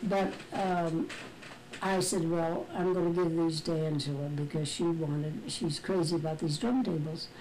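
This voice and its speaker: Noticeable background noise sits under a woman speaking at a moderate pace. Her pitch is fairly low, with ordinary pitch variation. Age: 80s+. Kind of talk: family storytelling.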